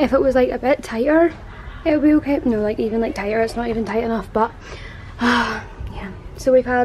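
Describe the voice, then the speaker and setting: Over light background noise, a woman talks at a fairly quick pace with a high pitch and ordinary pitch variation. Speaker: vlogger. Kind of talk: casual vlog chat. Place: shop.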